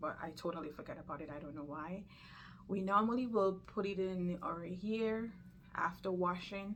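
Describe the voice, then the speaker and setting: A woman at a medium pitch and moderate pace, fairly even in intonation, with audible room echo. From Jamaica. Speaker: nurse and lifestyle vlogger. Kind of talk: health tutorial vlog. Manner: casual, conversational.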